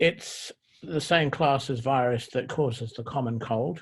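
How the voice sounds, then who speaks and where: Recorded very cleanly against a silent background, a man with a British accent speaks in a somewhat breathy, medium-pitched voice with ordinary pitch variation. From England. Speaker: doctor and professor. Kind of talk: interview. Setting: call.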